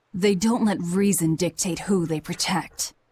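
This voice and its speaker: Putting on a growling character voice, a woman speaks at a medium pitch and moderate pace with fairly even intonation. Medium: video game. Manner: cool, curt.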